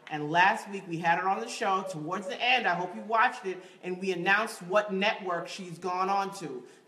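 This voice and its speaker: A woman speaks in an animated tone with an American accent. She leaves hardly any pauses, and room echo is audible. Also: moderate pace. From New York, West Indian heritage. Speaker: acting show host. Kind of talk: live web show presenting. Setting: studio, live-streamed. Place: studio. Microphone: phone near.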